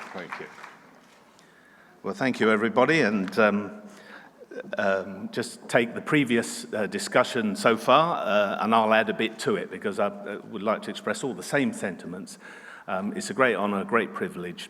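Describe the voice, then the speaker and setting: With noticeable background noise behind him, a man in a southern English accent talks at a moderate pace. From England, Kent. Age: 60s. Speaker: animal scientist receiving award. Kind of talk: acceptance speech. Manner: halting.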